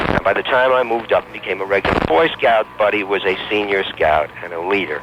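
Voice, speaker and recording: Amid noticeable background noise, a man talks very fast with lively intonation at a fairly low pitch. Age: 60s. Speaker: talk radio caller. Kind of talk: call-in personal story.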